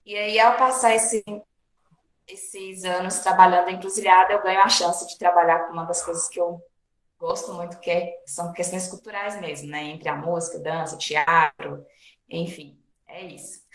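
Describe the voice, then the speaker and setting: This woman has an unremarkable speaking voice, fairly low in pitch, moving at a moderate pace with fairly even intonation and big swings in loudness. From Brazil, Bahia/Minas Gerais border. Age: 30s. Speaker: physical education teacher and cultural project coordinator. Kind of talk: interview. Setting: online recording.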